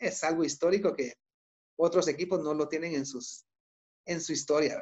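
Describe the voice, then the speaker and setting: A man speaks at a fairly high pitch. The background is quiet. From Guatemala. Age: 30s. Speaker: co-host, doctor and football fan; co-host. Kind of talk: casual sports talk show. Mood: enthusiastic, nostalgic. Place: home room. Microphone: video call.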